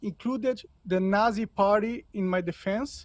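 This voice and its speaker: With a Portuguese accent, a man speaks at a fairly slow pace in a high voice. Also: dry, close sound with no echo. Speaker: podcaster. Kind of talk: interview. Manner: halting.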